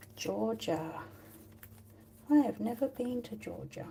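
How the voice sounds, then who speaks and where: A woman with an Australian accent. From Australia, Tasmania. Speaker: watercolour artist. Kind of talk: live painting tutorial chat. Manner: casual, hesitant with fillers.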